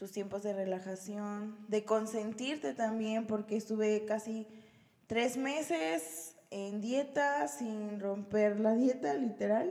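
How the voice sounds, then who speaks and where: Over noticeable background noise, a woman speaks very slowly with a fairly high pitch and lively intonation. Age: 20s. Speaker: nursing graduate and fitness athlete. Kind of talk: casual chat. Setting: home recording.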